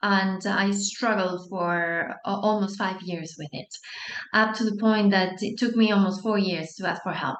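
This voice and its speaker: Speaking at a fairly slow pace in a Spanish accent, a woman with medium pitch keeps her intonation fairly even, with audible room echo. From Spain. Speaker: anxiety coach. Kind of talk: online masterclass talk. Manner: warm, encouraging.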